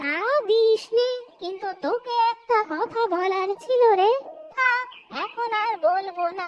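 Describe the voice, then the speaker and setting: A female-sounding, cartoonish character voice speaks at an extremely high pitch and a fairly slow pace. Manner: wheedling, rustic.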